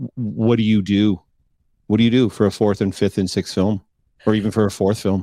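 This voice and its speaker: A man talks fairly quickly in a fairly low voice with a Canadian accent. His intonation is monotone and flat, and the sound is dry and close with no echo. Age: 40s. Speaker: podcast co-host. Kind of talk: casual chat. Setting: live-streamed video call.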